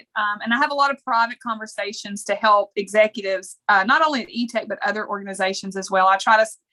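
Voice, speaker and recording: Here is a woman at a very fast pace with a fairly high pitch and ordinary pitch variation. Her tone is bright and sharp, and the sound is dry and close with no echo. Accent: Texan. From small-town Texas. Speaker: leadership coach. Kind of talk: podcast interview.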